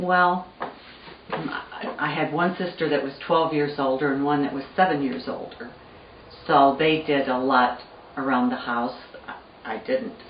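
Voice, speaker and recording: A woman with a very deep, low pitch talks at a fairly slow pace with ordinary pitch variation and long, frequent pauses. Noticeable background noise and audible room echo are present. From US Midwest (Missouri, then Pontiac, Michigan). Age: 70s. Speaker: family elder interviewee. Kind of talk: oral history interview.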